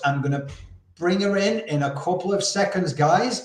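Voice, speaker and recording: A man with a Yorkshire accent, high in pitch and fairly slow, with audible room echo. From Yorkshire, northern England. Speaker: podcast host, campaign founder. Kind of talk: interview. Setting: live video stream.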